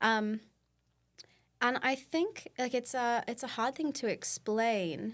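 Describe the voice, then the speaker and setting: A woman with an Australian accent, fairly slow pace and ordinary pitch variation, on a very clean recording with a silent background. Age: 20s. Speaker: nonprofit co-founder and president. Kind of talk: podcast interview. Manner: casual, many fillers.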